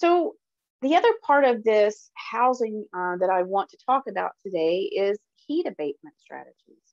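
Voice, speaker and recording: In a Southern US accent, a woman speaks at a moderate pace and a fairly high pitch. Her pitch swings very widely. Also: dry, close sound with no echo. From US South. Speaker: dairy industry specialist. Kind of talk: webinar presentation. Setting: online webinar. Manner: casual, with frequent fillers.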